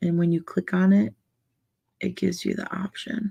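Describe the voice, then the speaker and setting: The recording has a dry, close sound with no echo. A woman does the talking. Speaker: livestream coloring ASMR host. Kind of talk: casual livestream chat. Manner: soft-spoken; slow.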